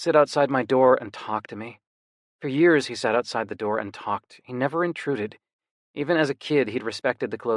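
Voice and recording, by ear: Someone is reading aloud in a natural voice over a quiet background.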